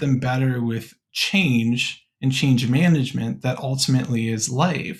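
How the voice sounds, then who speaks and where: Somewhat breathy, a man speaks at a fairly slow pace with hardly any pauses and ordinary pitch variation. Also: medium pitch for a man. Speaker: podcast host, college admissions worker. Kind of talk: podcast conversation.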